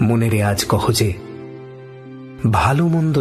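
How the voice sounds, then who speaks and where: The voice makes very wide pitch swings, with music playing in the background. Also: man. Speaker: radio jockey. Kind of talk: poetry reading. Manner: calm, intimate, restrained.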